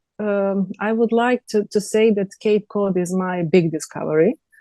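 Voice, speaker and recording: With a Serbian accent, a woman speaks at a medium pitch and moderate pace in a dark, mellow tone, the sound dry and close with no echo. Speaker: TV host and journalist. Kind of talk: interview. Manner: halting.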